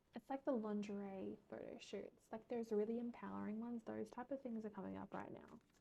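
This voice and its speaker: A woman's fairly quick speech with hardly any pauses. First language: not English. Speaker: tarot reader. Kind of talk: tarot reading. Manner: casual, filler-heavy.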